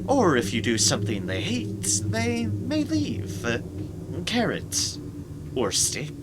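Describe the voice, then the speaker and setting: At a very slow pace full of long, frequent pauses, a man uses a put-on character voice with a fairly low pitch against loud background noise. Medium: game stream.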